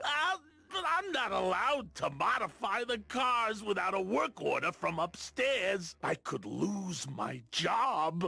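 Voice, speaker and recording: Using a put-on character voice, a man speaks at a high pitch and a fairly slow pace. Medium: video game. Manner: eager, emotional.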